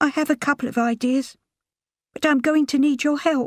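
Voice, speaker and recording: In a put-on character voice that sounds shaky, the speaker goes at a moderate pace. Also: female-sounding voice, high pitch for a woman. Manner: pitiful, feigned distress.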